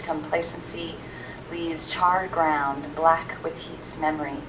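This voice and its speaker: Delivered at a fairly slow pace with monotone, flat intonation, the speech carries audible room echo and noticeable background noise. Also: woman. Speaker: university staff member reading own poems. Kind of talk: poetry reading. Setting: library reading with audience. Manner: soft-spoken.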